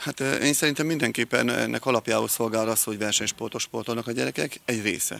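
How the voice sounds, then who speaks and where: With hardly any pauses, a man speaks at a very fast pace in a dry sound with no echo. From Hungary. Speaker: PE teacher and coach. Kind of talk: interview. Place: street. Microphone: handheld.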